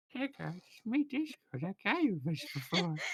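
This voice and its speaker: This is a put-on character voice pitched in the middle range. Its pitch swings very widely. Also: moderate pace. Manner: playful, mischievous.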